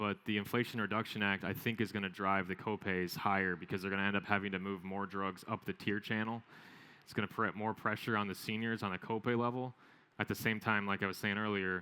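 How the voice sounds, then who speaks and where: A man's fairly low voice, bright and sharp in tone, flat and monotone, at a fairly quick pace, on a very clean recording with a silent background. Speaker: business consultant presenter. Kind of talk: conference presentation. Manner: fast.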